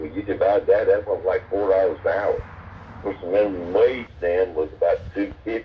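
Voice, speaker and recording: A man speaks at a fairly quick pace with a North Carolina accent. Noticeable background noise runs underneath. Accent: Southern US (North Carolina). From US South. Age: 70s. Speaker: military veteran. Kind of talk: casual chat. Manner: halting, many repeated words.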